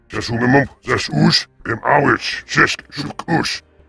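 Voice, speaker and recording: In a put-on character voice, a man speaks fairly slowly at medium pitch. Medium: machinima.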